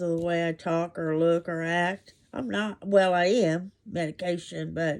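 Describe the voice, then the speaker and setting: Delivered at a fairly slow pace, the voice has a dark, mellow tone and a monotone, flat intonation. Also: woman. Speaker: crochet vlogger. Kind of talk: casual show-and-tell vlog. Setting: bedroom at home. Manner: halting.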